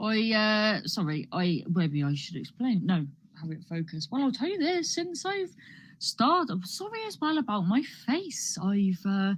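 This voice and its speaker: In a Cornish accent, a somewhat breathy woman talks at a moderate pace and medium pitch with very wide pitch swings. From Cornwall, England. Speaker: comedian. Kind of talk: stand-up. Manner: rambling, halting with many false starts.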